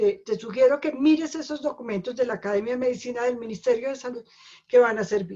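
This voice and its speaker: A woman's high, dark, mellow voice at a very fast pace with ordinary pitch variation. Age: 60s. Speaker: doctor and right-to-die advocate. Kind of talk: webinar lecture with Q&A. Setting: video call webinar.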